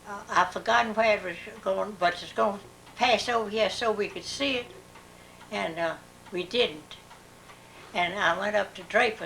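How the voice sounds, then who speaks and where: With an American accent, a woman of medium pitch speaks at a moderate pace, with long, frequent pauses, big swings in loudness and noticeable background noise. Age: 80s+. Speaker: elderly interviewee. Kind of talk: oral history interview. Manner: halting.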